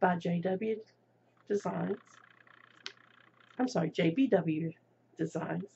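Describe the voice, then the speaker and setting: Somewhat breathy and fairly low in pitch, a woman talks at a very slow pace with fairly even intonation. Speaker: crafting vlogger. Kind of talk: casual show-and-tell vlog. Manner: hesitant, with fillers.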